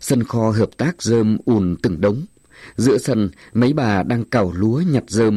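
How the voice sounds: This is a natural reading voice. Pitch varies an ordinary amount.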